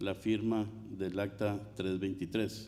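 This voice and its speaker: A man at a fairly slow pace, amid audible room echo. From Mexico. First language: Spanish. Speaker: water commissioner. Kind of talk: conference speech. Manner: formal.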